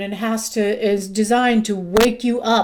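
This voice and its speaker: The recording is very clean, with a silent background. A woman with a fairly high pitch speaks at a fairly slow pace with fairly even intonation. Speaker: music reviewer youtuber. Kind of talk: casual music review monologue. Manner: halting, stumbling over words.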